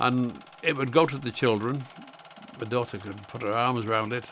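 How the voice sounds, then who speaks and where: Amid noticeable background noise, a man of medium pitch talks at a moderate pace with ordinary pitch variation. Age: 80s+. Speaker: retired wildlife carer. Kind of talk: documentary interview. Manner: halting.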